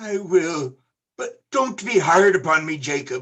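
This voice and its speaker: Fairly slow put-on character voice from a man, high in pitch. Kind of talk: radio play performance. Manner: fearful, pleading.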